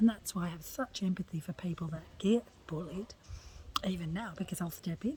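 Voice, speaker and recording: A woman with an Australian accent speaks at a fairly quick pace and a fairly low pitch. Her dark, mellow tone carries vocal fry and ordinary pitch variation. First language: Italian. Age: 50s. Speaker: lifestyle blogger. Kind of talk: personal testimony monologue. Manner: animated.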